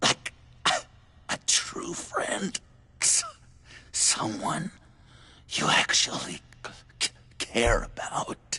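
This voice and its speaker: A man puts on a character voice, speaking at a very slow pace with long, frequent pauses. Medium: short film. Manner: stammering, erratic.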